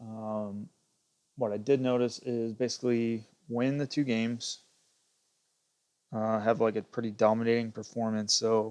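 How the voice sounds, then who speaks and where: Soft-spoken and monotone, a man talks at medium pitch and a fairly slow pace with flat intonation. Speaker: gaming streamer. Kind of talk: gameplay livestream commentary. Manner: hesitant, many fillers. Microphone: cheap plug-in earpiece mic, not clear.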